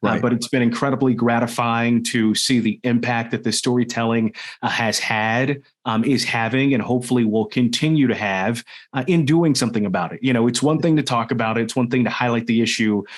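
With an American accent, a man in an unremarkable speaking voice talks at a fairly quick pace, medium in pitch, with fairly even intonation. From Washington, DC. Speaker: news anchor and race and culture reporter. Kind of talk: interview conversation.

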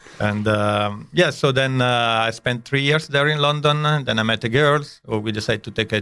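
In a very clean recording with a silent background, a man speaks with an Italian accent at a medium pitch and a moderate pace, his bright, sharp tone showing ordinary pitch variation and hardly any pauses. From northern Italy. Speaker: chef. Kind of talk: casual interview. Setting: studio.

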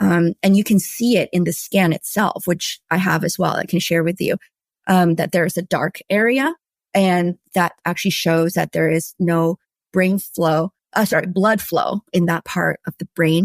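With a dry, close sound and no echo, a woman has a plain, everyday voice, fairly low in pitch with fairly even intonation. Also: moderate pace. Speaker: mental health advocate. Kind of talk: interview.

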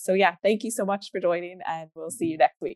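A woman's ordinary speaking voice at a medium pitch, fairly quick in pace, with ordinary pitch variation. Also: dry, close sound with no echo. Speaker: webinar host. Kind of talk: casual chat. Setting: video call.

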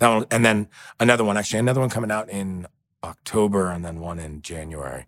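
A man with a New York accent and fairly low pitch, talking at a very fast pace with ordinary pitch variation, big swings in loudness and a dry, close sound with no echo. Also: very clean recording, silent background. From New York City. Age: 40s. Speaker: actor. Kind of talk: interview.

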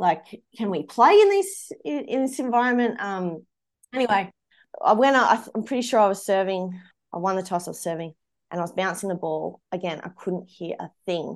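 A woman with an Australian accent, medium in pitch with ordinary pitch variation, at a moderate pace against a quiet background. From rural Australia. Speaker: former professional tennis player. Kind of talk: interview.

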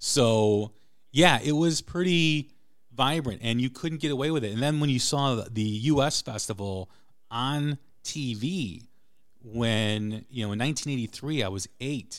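On a very clean recording with a silent background, a man with an American accent speaks at a fairly slow pace. He has a normal speaking voice at a medium pitch, with ordinary pitch variation. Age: 40s. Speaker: rock podcast host. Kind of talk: casual chat.

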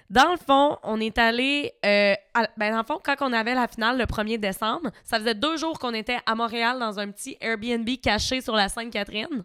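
A woman with a Quebec accent and a bright, sharp, animated tone, ordinary pitch variation, a moderate pace with hardly any pauses, and a dry, close sound with no echo on a very clean recording against a silent background. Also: fairly high pitch for a woman. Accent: Québécois French. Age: 20s. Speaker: reality TV contestant. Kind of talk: casual chat.

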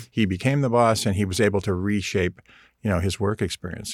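A man with a normal speaking voice talks at a fairly quick pace in a fairly low pitch, on a very clean recording with a silent background. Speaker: design professor and author. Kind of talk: interview.

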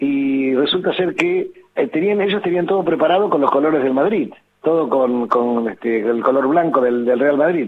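A man with an Argentine accent, fairly high-pitched, lively in intonation, at a moderate pace and very even loudness. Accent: Rioplatense Argentine Spanish. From Argentina. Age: 70s. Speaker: infectious disease doctor. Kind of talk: interview.

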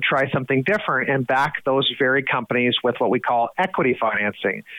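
With an Atlantic Canadian accent, a man talks at a moderate pace in a fairly high voice. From New Brunswick, Canada (Fredericton). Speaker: head of an investment foundation. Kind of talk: podcast interview.

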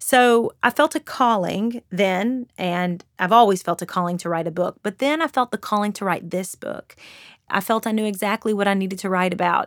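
A woman with a slight Southern Kentucky accent speaks at a medium pitch and moderate pace, with ordinary pitch variation. The sound is dry and close with no echo, and the recording is very clean with a silent background. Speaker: author and influencer. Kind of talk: interview monologue.

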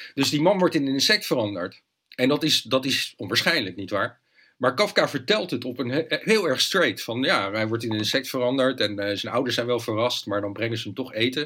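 This man has a medium pitch and a bright, sharp tone, with lively intonation at a fairly quick pace. The recording is very clean, with a silent background. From Netherlands, Leiden. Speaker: journalist and author. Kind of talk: interview conversation. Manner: hesitant, frequent repetitions.

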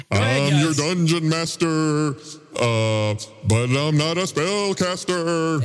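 Very slowly, a man delivers a put-on character voice in a theatrical tone, pitched fairly high with lively intonation. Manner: ominous, theatrical.

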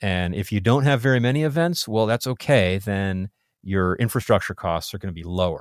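Fairly low in pitch, a man with a plain, everyday voice talks at a fairly quick pace with lively intonation. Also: very clean recording, silent background. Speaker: podcast host. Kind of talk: casual technical interview. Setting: studio.

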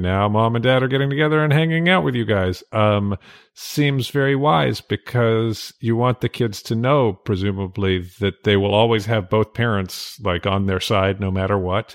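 An unremarkable speaking voice from a man, moderately paced and fairly low-pitched. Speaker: podcast host, editor. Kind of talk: casual chat. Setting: home recording in dining room, alone.

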